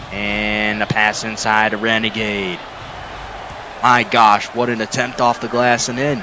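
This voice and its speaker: Through noticeable background noise, a man speaks at a fairly slow pace with long, frequent pauses. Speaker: sim league play-by-play commentator. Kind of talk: live commentary. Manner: kept quiet, less animated than usual.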